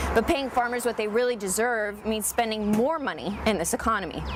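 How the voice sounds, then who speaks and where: Over noticeable background noise, a woman talks fairly quickly in a fairly high pitch with ordinary pitch variation. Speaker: news anchor and reporter. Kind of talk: studio news anchor read.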